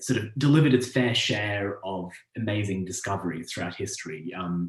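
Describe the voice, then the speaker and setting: A man with an Australian accent speaks at a moderate pace in a somewhat breathy voice. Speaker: astronomer. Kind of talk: public lecture. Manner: hesitant, many fillers.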